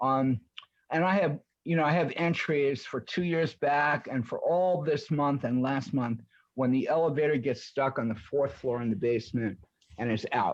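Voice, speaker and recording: Speaking at a moderate pace, a man uses a fairly high pitch with ordinary pitch variation and very even loudness. He has a normal speaking voice. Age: 60s. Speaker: tenant appellant. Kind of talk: testimony.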